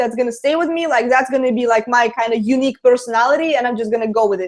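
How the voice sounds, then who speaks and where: Talking at a very fast pace with a Russian accent, this speaker uses ordinary pitch variation. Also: woman. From Latvia. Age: 20s. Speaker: online marketer. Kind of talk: interview. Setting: video call.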